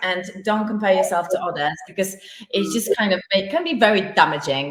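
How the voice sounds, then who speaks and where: A woman with lively intonation against noticeable background noise. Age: 40s. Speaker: interviewer and photographer. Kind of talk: interview.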